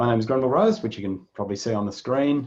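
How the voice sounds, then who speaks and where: Against a quiet background, a man with an Australian accent speaks at a medium pitch with ordinary pitch variation. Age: 60s. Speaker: psychologist and webinar moderator. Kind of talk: webinar introduction.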